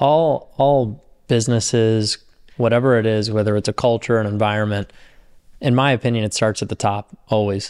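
A man's unremarkable speaking voice at medium pitch, moderately paced, with fairly even intonation. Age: 20s. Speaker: podcast co-host. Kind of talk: casual podcast interview.

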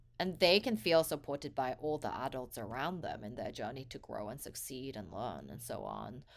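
Hardly pausing, a woman with a Korean accent speaks with big swings in loudness on a very clean recording with a silent background. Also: moderate pace. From England (grew up near London, born in Korea). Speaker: nonprofit founder. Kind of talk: casual conversation.

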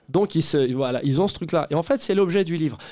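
The man's voice has a dark, mellow tone and a fairly high pitch. His pitch varies in an ordinary way. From Paris suburbs (Saint-Denis). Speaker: comedian. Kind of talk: casual chat. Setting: stage with audience.

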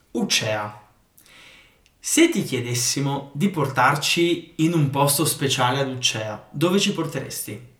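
In audible room echo, a man speaks at a very slow pace with long, frequent pauses, his fairly high pitch showing ordinary variation. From northeastern Italy, outside Val Resia. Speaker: podcast host. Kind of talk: podcast interview.

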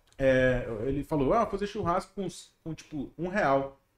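A man speaks at a moderate pace, his intonation lively throughout. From Manaus, Brazil. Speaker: comedian. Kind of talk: casual chat.

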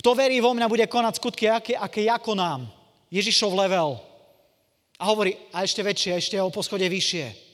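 A man speaks with an animated tone at a fairly quick pace. His pitch is high. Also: ordinary pitch variation. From eastern Slovakia, Košice. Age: 40s. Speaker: evangelist preacher. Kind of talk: sermon; testimony.

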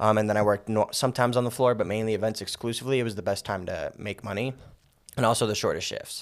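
This man talks at a very fast pace with a slight New York accent. His intonation stays fairly even. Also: medium pitch for a man. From Las Vegas, US. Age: 20s. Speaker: real estate agent. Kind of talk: casual interview.

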